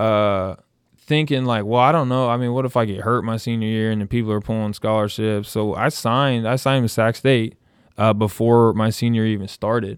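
An unremarkable speaking voice moves at a fairly quick pace with ordinary pitch variation. The recording is very clean over a silent background. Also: man. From US West Coast, Santa Barbara area, California. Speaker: former college basketball player, coach. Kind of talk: casual interview, personal story. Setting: studio.

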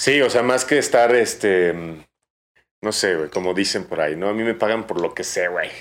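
A man speaks in a normal speaking voice at a medium pitch and moderate pace, with lively intonation. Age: 30s. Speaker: bartender and brand ambassador. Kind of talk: casual chat. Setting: bar.

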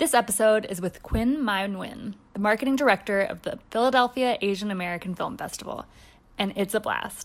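Recorded very cleanly against a silent background, a woman talks in a normal speaking voice with a fairly high pitch. Her pace is fairly quick and her pitch variation ordinary. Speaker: podcast producer. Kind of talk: scripted intro.

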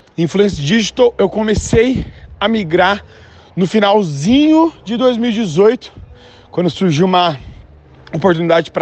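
Using lively intonation and a high pitch, a man speaks at a moderate pace with long, frequent pauses. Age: 20s. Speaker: comedian and digital influencer. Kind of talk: casual interview.

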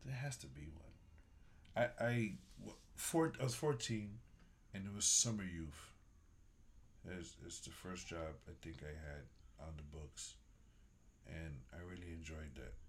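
In a room with audible echo, a man with a very deep, low, somewhat breathy voice speaks fairly slowly with lively intonation, big swings in loudness and long, frequent pauses. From Bronx, New York. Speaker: restaurant worker. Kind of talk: casual chat.

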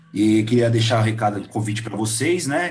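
This man's voice sits fairly low and is somewhat breathy, moving at a fairly quick pace with ordinary pitch variation. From Brazil. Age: 30s. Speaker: podcast host. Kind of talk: casual interview chat.

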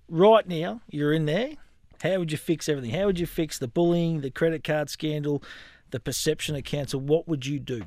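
A man with an Australian accent, fairly high-pitched, at a fairly quick pace. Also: ordinary pitch variation. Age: 40s. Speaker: podcast host. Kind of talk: casual interview.

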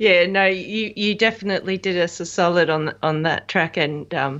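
The woman speaks with an Australian accent at a fairly low pitch. Her intonation stays fairly even against a quiet background. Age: 30s. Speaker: musician. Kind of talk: casual chat.

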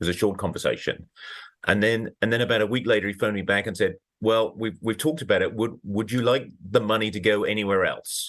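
Speaking very fast, a man talks with a British accent. His pitch is fairly low and his intonation fairly even. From Britain. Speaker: oncologist. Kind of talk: interview.

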